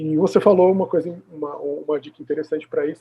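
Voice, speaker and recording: A man talks quite quickly, his pitch varying in an ordinary way. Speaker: video host interviewing a speech therapist. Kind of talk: conversational recap in an interview. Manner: halting, many repeated fillers.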